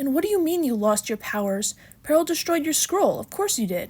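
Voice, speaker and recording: Putting on a character voice, a woman talks at a fairly quick pace in a high pitch with very wide pitch swings. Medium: read story. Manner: probing, accusing.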